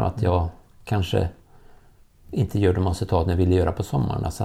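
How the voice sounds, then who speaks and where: Somewhat breathy, dark and mellow in tone, at a fairly quick pace. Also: man. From Värmland, Sweden. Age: 50s. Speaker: former elite distance runner. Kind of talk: interview. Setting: at a kitchen table at home.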